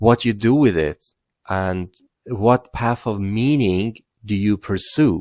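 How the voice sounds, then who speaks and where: A man with a Persian accent at a very slow pace and fairly low pitch, in a very clean recording with a silent background and a dry, close sound with no echo. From Iran. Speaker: content creator. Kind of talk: personal life story monologue. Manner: halting, many fillers.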